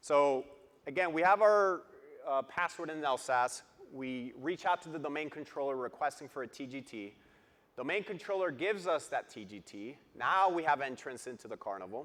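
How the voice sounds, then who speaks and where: A man talks at a moderate pace with a fairly high pitch and lively intonation. His loudness swings widely. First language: not English. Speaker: security consultant. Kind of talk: conference talk. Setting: stage with audience. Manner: casual.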